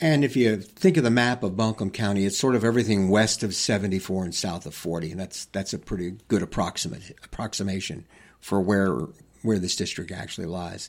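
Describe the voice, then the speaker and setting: A man with a plain, everyday voice speaks at a fairly quick pace with a fairly low pitch and ordinary pitch variation. The recording is very clean, with a silent background. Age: 60s. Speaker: political candidate; retired school principal. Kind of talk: casual interview. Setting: studio.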